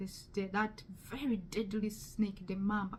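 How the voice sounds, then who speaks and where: Someone with a strong Ugandan accent speaks at a very slow pace. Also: woman. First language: Luganda. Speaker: testimony speaker. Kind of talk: testimony. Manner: halting.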